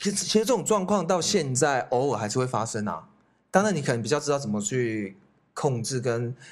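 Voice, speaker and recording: A man with a medium-pitched voice talks at a fairly quick pace, his pitch swinging very widely, in a very clean recording with a silent background. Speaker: youth hostel owner, podcast co-host. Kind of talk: casual chat.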